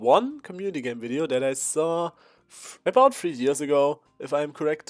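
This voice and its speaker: A man speaks at a moderate pace with a non-native accent and a fairly high pitch. The sound is dry and close, with no echo. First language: not English. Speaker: YouTuber and digital artist. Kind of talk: casual vlog monologue. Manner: halting.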